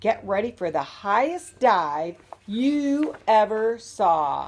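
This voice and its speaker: A female-sounding, put-on character voice, croaky and cheerful in tone, comes out at a fairly high pitch and a very slow pace. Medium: read story. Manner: cheerful, croaking.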